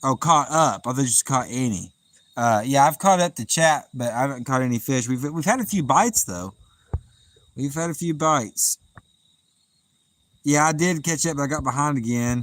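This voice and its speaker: This very clean recording has a silent background. A man talks on it. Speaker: fishing livestreamer. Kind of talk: live stream chat reading. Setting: outdoors by the water at night.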